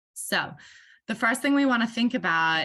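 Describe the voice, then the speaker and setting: A woman with an Australian accent and a bright, sharp tone with vocal fry, over a quiet background. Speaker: workshop facilitator. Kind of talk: online meeting facilitation.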